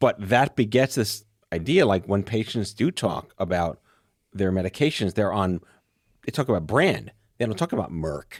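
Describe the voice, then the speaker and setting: In a plain, everyday voice, a man talks at a moderate pace with lively intonation, the sound dry and close with no echo and the background silent on a very clean recording. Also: fairly low pitch for a man. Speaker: podcast host. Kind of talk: casual podcast conversation.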